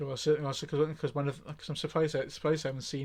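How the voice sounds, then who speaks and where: This man's voice is somewhat breathy and fairly high in pitch. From South Wales Valleys, Blaenau Gwent. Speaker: livestreamer, hobby painter. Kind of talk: casual chat. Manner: halting, many repetitions.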